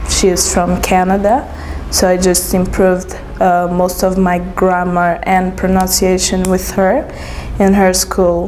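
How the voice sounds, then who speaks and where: A woman speaks at medium pitch and a fairly slow pace, with monotone, flat intonation and very even loudness. Audible room echo and noticeable background noise sit behind her. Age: 20s. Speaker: English teacher. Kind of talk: interview. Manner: halting, with fillers.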